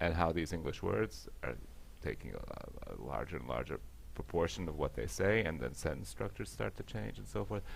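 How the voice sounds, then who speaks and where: With an American accent, a man speaks at a moderate pace in a very deep, low voice with vocal fry and very wide pitch swings. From US, Latvian diaspora family. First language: Latvian. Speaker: panelist. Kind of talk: panel discussion.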